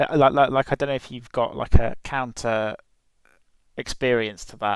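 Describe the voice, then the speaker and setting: Speaking with a British accent at medium pitch and a moderate pace, a man keeps fairly even intonation but swings widely in loudness, recorded very cleanly against a silent background. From UK. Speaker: podcast host, exchange student. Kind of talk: casual chat. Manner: halting, many fillers. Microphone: headset mic, poor audio.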